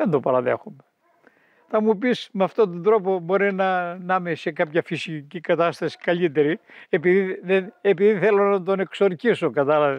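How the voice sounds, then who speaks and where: A man's high-pitched voice carries ordinary pitch variation. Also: moderate pace. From Greece, mountain village in Evrytania. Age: 80s+. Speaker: elderly villager. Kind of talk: interview, life memories. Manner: halting, frequent word repetitions.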